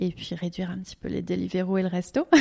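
A woman's plain, everyday voice, fairly low in pitch and at a fairly quick pace, on a very clean recording with a silent background. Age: 30s. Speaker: naturopathy consultant. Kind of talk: interview.

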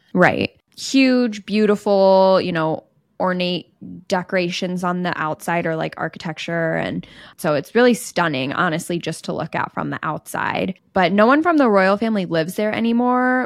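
A woman with a plain, everyday voice and a General American accent, medium in pitch, lively in intonation and moderate in pace, on a very clean recording with a silent background. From US Midwest. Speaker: podcast host. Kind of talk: casual chat.

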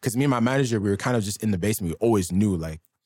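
A normal speaking voice from a man with a Canadian accent, fairly low in pitch with ordinary pitch variation, is heard in a very clean recording with a silent background. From Canada, Ottawa (East End). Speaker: rapper. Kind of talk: interview.

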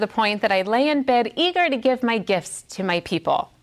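Lively intonation marks this woman's fairly high voice at a moderate pace. Noticeable background noise can be heard. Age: 40s. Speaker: women's Bible teacher. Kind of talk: sermon. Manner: animated.

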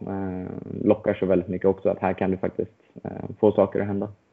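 The man's pitch is fairly low. His intonation is monotone and flat. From Sweden, Stockholm. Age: 20s. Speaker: racing driver. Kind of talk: interview. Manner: hesitant, many fillers.

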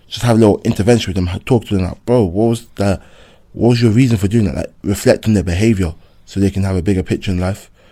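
A man in a London accent talks very fast with a dark, mellow tone, a fairly low pitch and ordinary pitch variation. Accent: London multicultural English. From West London, West Indian family. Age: young. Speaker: secondary school PE teacher. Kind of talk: casual chat.

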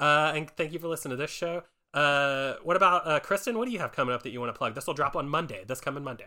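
Over a silent background on a very clean recording, a man with a fairly high pitch and a bright, sharp tone speaks very fast with lively intonation. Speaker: podcast co-host. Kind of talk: casual comedy chat.

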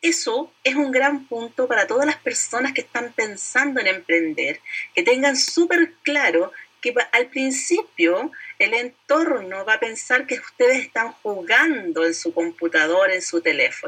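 A woman with a high pitch talks at a fairly slow pace, her voice making very wide pitch swings. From Chile. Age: 50s. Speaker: direct sales entrepreneur. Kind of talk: interview.

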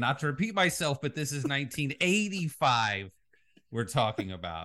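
The man's voice is fairly high and swings very widely in pitch, with vocal fry. He keeps a moderate pace. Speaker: podcast co-host. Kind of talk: casual chat. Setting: remote from other host.

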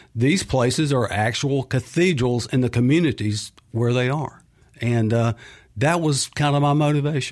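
With a Mississippi accent, a man speaks at a moderate pace with very even loudness and ordinary pitch variation, on a very clean recording with a silent background. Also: medium pitch for a man. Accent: Southern US (Mississippi). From Mississippi (Clinton). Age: 60s. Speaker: author and freelance sportswriter. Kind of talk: radio interview. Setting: studio.

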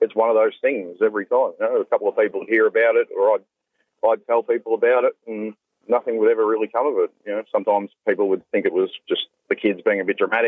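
A very fast-talking man with an Australian accent. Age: 20s. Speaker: reformed domestic violence perpetrator. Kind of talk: personal testimony.

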